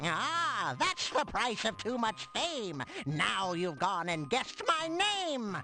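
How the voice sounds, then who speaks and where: In a squeaky, put-on character voice at a fairly high pitch, the speaker goes at a very slow pace over clear background noise. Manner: sing-song, riddling, playful.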